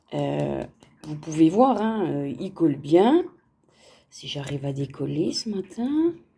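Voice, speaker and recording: Pausing long and often, a woman speaks at a very slow pace with big swings in loudness. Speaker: crafts vlogger. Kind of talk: casual unboxing vlog. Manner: chatty, many fillers.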